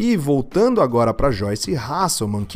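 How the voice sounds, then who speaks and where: A man speaks with a Brazilian accent. The recording is very clean, the background silent. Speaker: podcast host. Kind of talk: solo political commentary podcast. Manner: casual, informal.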